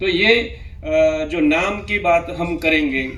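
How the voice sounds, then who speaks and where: Amid noticeable background noise and audible room echo, a man with a fairly high pitch speaks with fairly even intonation. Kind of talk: seminar presentation. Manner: halting, many fillers.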